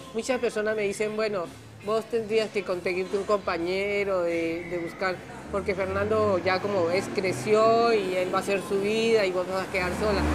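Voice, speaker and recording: A woman speaks in a medium pitch with monotone, flat intonation. There is audible room echo and music in the background. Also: moderate pace. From Colombia. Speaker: exile immigrant. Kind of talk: documentary interview testimony.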